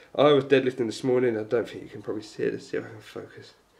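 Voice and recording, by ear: Vocal fry runs through a man's medium-pitched, slightly mellow voice as he speaks at a very fast pace with fairly even intonation.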